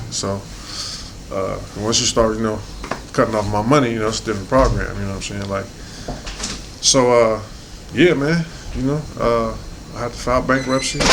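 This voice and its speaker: With audible room echo behind him, a man at medium pitch talks at a fairly quick pace, using ordinary pitch variation and long, frequent pauses. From South Central Los Angeles, US. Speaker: professional boxer. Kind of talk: interview. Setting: in-person interview in the UK. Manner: casual, conversational.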